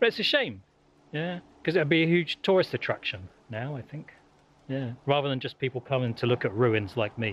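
A man speaks at a moderate pace. His fairly bright tone carries lively intonation. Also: medium pitch for a man.

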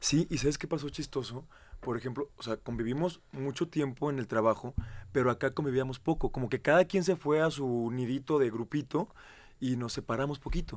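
A plain, everyday voice from a man, medium in pitch, with ordinary pitch variation and a fairly quick pace. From Mexico, Querétaro; Mexico. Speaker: reality show contestant; radio guest. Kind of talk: interview. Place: studio.

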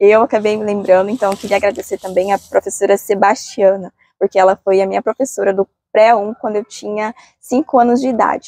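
In a quiet setting, a woman's dark, mellow tone comes through at a moderate pace. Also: dry sound with no echo. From Brazil. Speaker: culture sector coordinator and dance choreographer. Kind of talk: interview. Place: street. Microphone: lapel.

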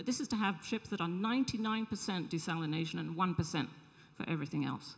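Over a quiet background, a woman speaks at a moderate pace with a fairly low pitch. Her intonation is lively, and vocal fry runs through her voice. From England. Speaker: social entrepreneur; panelist. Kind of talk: panel discussion. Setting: stage with audience. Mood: earnest, engaged. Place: hall. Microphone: handheld.

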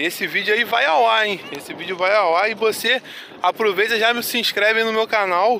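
A man talks in a raised, projected voice at a moderate pace with ordinary pitch variation. The sound is dry with no echo, and there is light background noise. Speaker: vlogger on a hike. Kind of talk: casual vlog chat. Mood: disappointed, upset. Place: waterside. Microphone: phone near.

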